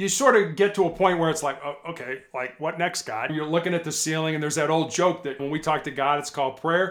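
Over noticeable background noise, a man talks at a very fast pace with hardly any pauses, a fairly high pitch and ordinary pitch variation. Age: 60s. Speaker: former police hostage negotiator. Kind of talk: interview storytelling. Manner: halting, repeats words.

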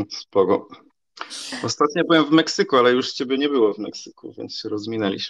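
Recorded with a dry, close sound and no echo, a man at a medium pitch talks at a very fast pace. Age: 30s. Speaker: online content manager. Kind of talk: casual interview.

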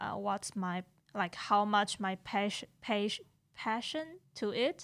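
Heard in a very clean recording with a silent background, a woman with a strong Taiwanese accent speaks at a fairly high pitch with ordinary pitch variation. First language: Mandarin. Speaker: graduate student. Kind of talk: casual chat.

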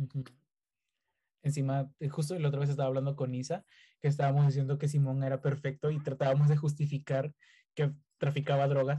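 A man with a fairly high yet dark, mellow, somewhat breathy voice speaks at a moderate pace in a flat monotone. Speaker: podcast host. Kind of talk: casual chat. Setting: video call.

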